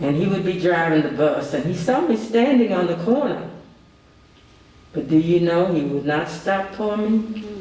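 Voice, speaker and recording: A man with a Kentucky accent speaks at a moderate pace in a high voice with lively intonation, with noticeable background noise and audible room echo. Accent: Kentucky Southern US. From Kentucky, Nicholasville (Jessamine County). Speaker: panelist, former student. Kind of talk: panel discussion testimony.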